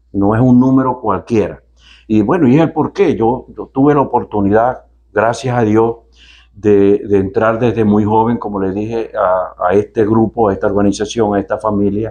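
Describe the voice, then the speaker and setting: At a moderate pace, this man speaks in a dark, mellow tone. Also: medium pitch for a man, ordinary pitch variation, quiet background. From Venezuela, Maracaibo; Venezuela. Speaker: company executive; interviewee. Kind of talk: TV interview. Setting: on location at company headquarters. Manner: halting, many fillers and repetitions. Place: office. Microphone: lapel.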